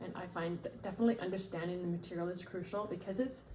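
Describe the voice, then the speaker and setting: A woman speaks at medium pitch. Audible room echo surrounds her voice. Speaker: parent training as a family consultant. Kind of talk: casual conversation with spouse about a training project.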